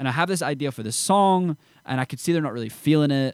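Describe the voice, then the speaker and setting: A man with a Scottish accent at a very fast pace, ordinary pitch variation, in a dry, close sound with no echo. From Scotland, Edinburgh area small town. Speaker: country singer. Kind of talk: casual interview chat. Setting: studio.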